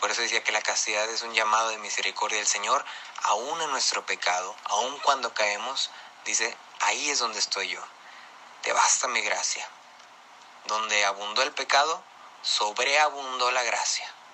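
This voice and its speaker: Amid noticeable background noise, a man of medium pitch speaks with long, frequent pauses. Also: ordinary pitch variation, moderate pace. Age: 20s. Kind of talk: testimony. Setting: pre-recorded audio message.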